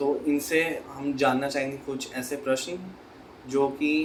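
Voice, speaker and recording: There is noticeable background noise behind this man. His fairly high voice stays monotone, with flat intonation. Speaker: interviewer. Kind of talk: interview questions.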